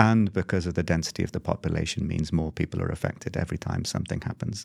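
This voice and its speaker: Vocal fry and lively intonation from a man, on a very clean recording with a silent background. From Europe. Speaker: humanitarian regional director. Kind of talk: interview answers, conversational.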